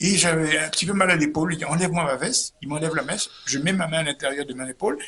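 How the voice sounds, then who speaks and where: A man at a fairly high pitch and fairly quick pace, with ordinary pitch variation and noticeable background noise. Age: 70s. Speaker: comedian. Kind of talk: interview storytelling. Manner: animated; halting, repetitive.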